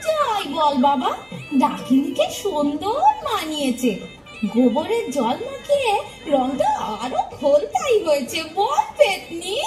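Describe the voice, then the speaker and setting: A put-on character voice with a high pitch moves at a fairly slow pace. Loud music plays in the background. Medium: stage play. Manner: wry, teasing.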